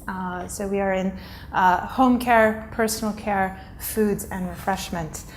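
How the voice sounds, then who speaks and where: A woman with an American accent at a fairly slow pace, amid noticeable background noise and audible room echo. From United States. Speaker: corporate executive. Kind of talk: conference keynote.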